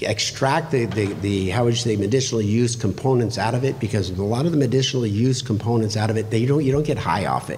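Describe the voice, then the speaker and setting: A man at a medium pitch speaks at a fairly quick pace, his pitch varying in an ordinary way. Audible room echo and noticeable background noise are present. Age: 60s. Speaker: political candidate. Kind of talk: candidate forum answer. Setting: public library meeting room.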